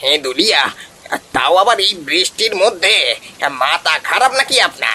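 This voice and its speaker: In a cartoonish character voice, a man talks at a high pitch with very wide pitch swings. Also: moderate pace, very even loudness. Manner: blunt, exasperated.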